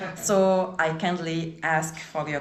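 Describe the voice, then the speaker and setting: A woman with a non-native accent at a fairly low pitch, ordinary pitch variation, audible room echo and noticeable background noise. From Morocco, Essaouira. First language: French or Arabic. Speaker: foundation executive and local host. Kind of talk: address to a tour group.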